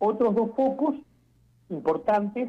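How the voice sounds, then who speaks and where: A man is speaking. His pace is moderate. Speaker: former health minister. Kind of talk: interview. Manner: halting.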